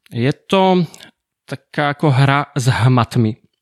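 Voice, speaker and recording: A man speaks with a Slovak accent. The recording is very clean, with a silent background. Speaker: tech podcast co-host. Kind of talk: casual chat.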